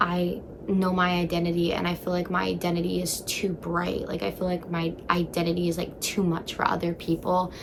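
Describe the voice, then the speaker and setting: A woman talks at a fairly quick pace in a fairly low pitch, with hardly any pauses. Her intonation is monotone and flat, and there is noticeable background noise. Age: 20s. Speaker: vlogger. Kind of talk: casual chat. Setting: in bed at home. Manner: loud.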